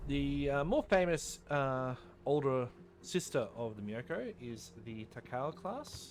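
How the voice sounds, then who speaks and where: A man with an Australian accent, a fairly high pitch and lively intonation, speaking at a very slow pace. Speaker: gaming YouTuber. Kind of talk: gameplay commentary. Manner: casual, with many fillers and self-corrections.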